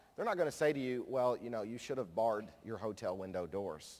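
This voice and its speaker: A man with a medium-pitched voice and a slight Kentucky accent speaks with lively intonation. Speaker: conference speaker, nonprofit director. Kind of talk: conference plenary talk. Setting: stage with audience.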